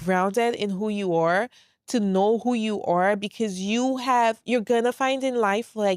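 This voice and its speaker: Slowly, at a very slow pace, a woman with a New York accent speaks at a fairly high pitch, the sound dry and close with no echo. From New York, moved from St. Lucia at 10. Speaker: podcast host. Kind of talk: solo podcast monologue. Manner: calm, quiet.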